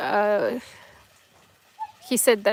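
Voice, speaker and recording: Speaking in a Tamil accent, a woman uses a fairly high pitch. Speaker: live streamer. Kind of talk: casual live stream chat. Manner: halting, many fillers.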